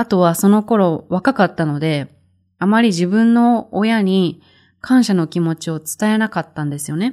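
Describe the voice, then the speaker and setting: On a very clean recording with a silent background and a dry, close sound with no echo, a woman with a dark, mellow tone talks at a moderate pace and medium pitch with lively intonation. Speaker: Japanese teacher podcaster. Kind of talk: language-learning podcast monologue.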